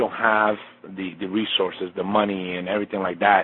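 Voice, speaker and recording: A normal speaking voice with an American accent, at a moderate pace. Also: man. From Colombia, raised in the US. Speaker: chef and cookbook author. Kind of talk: interview. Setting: remote call from a basement. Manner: frequent fillers and repetitions.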